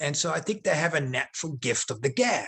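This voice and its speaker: A man with an American accent and a fairly high, bright, sharp voice, very wide pitch swings and a very fast pace. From South Africa. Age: 40s. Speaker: former professional wrestler. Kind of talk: interview.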